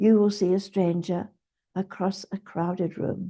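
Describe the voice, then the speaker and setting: Her voice is dark, mellow and somewhat breathy, with medium pitch for a woman. She speaks at a very slow pace in a monotone, flat intonation. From New Zealand. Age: 80s+. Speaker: retired dental nurse. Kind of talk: interview answer. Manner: articulate, eloquent.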